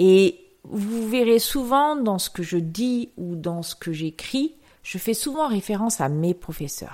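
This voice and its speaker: A woman with a dark, mellow tone speaks very slowly at a fairly high pitch, with very wide pitch swings. The recording is very clean, with a silent background. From rural France. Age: 50s. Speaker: yoga podcast host. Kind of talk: solo reflective monologue. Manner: hesitant.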